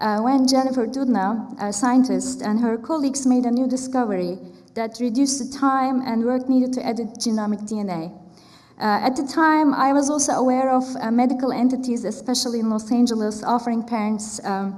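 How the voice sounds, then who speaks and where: Speaking with a Turkish accent, a woman talks at a fairly quick pace in a high pitch. Her intonation stays fairly even, and audible room echo surrounds her. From Turkey. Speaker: artist and academic panelist. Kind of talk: conference talk. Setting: stage with audience. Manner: conversational with frequent fillers.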